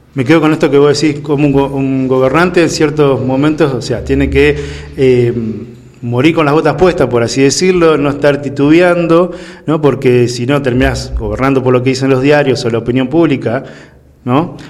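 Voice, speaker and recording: This man's fairly high voice keeps a fairly even intonation at a moderate pace. There is noticeable background noise and audible room echo. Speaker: political commentator. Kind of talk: casual political discussion.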